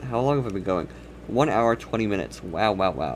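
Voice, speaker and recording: Very wide pitch swings and vocal fry at a fairly quick pace. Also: man. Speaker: streamer. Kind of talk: casual live stream chat while drawing. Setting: live stream with chat.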